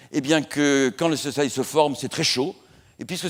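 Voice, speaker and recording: A man with a fairly high pitch on a very clean recording, silent background. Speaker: astrophysicist lecturer. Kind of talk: public lecture. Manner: fast.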